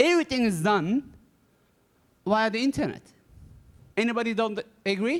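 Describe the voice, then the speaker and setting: A man's extremely high-pitched voice at a moderate pace, with lively intonation and long, frequent pauses, in a dry, close sound with no echo. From Germany, Turkish parents. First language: Turkish or German. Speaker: cybersecurity executive and author. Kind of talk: conference talk. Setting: stage with audience. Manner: interactive, engaging with audience.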